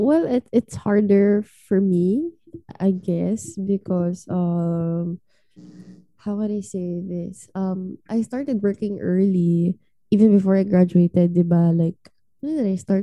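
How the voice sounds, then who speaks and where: Her pitch medium and her tone dark and mellow, a woman speaks at a very slow pace with ordinary pitch variation in a dry, close sound with no echo. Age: 20s. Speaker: podcast co-host. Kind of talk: casual chat.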